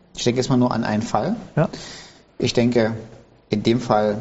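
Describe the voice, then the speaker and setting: Here a man is speaking. He keeps a moderate pace. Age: 50s. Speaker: pastor, podcast host. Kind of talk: casual interview.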